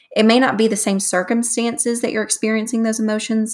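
A fairly high, somewhat breathy woman's voice with a Southern US accent, at a fairly quick pace. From North Alabama, US South. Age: 20s. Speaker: podcast host. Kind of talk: casual solo podcast monologue. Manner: animated, enthusiastic.

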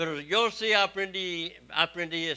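A man's bright, sharp tone. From Texas. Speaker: missionary preacher. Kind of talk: sermon.

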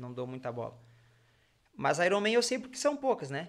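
The speaker is a man. He talks at a moderate pace. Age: 30s. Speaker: triathlete and physiotherapist. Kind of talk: casual chat.

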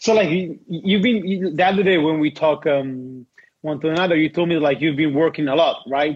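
A man with an Italian accent speaks at a moderate pace in a fairly high pitch with ordinary pitch variation. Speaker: podcast host, rollerblader. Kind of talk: casual chat. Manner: halting.

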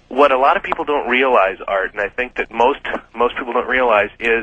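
Noticeable background noise is present. Over it, a man talks at a medium pitch. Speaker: caller.

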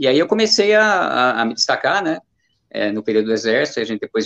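The voice moves at a very fast pace with very wide pitch swings. The sound is dry and close, with no echo. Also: man. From Brazil, Jundiaí (São Paulo state). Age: 50s. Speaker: amateur runner, running group leader. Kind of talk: casual interview.

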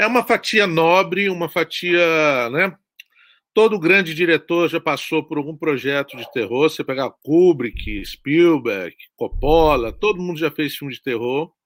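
A man with an unremarkable speaking voice and fairly high pitch speaks at a fairly slow pace, in a dry, close sound with no echo and a very clean recording with a silent background. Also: big swings in loudness. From Brazil, Espírito Santo (Guarapari). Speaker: horror film director. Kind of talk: interview.

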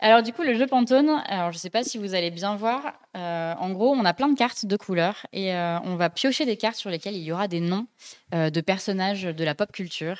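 On a very clean recording with a silent background, a woman with an unremarkable speaking voice talks at a moderate pace and medium pitch with lively intonation. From France, Dijon. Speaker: podcast host and graphic designer. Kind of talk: casual chat. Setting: live-streamed studio show.

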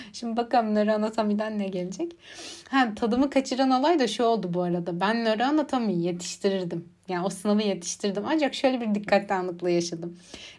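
A woman speaks fairly quickly in a fairly high pitch with an ordinary speaking voice. Her intonation is lively. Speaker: podcaster, psychology student. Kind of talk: casual monologue. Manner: frequent laughter.

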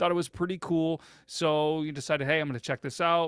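A man talks in a plain, everyday voice with a fairly high pitch. The recording is very clean and dry, close with no echo, over a silent background. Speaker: podcast host. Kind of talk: storytelling, retelling a listener's story. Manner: casual, filler-heavy with repeated words.

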